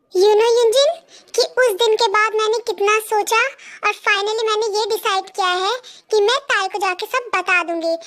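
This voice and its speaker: In a put-on character voice, a woman talks at an extremely high pitch with fairly even intonation. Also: moderate pace. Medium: fan dub.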